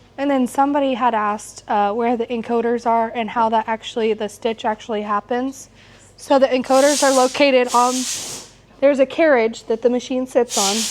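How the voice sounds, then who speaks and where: A woman with a high pitch talks at a fairly quick pace with fairly even intonation, and there is noticeable background noise. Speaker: quilting instructor. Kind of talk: live class demonstration. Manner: casual, with fillers.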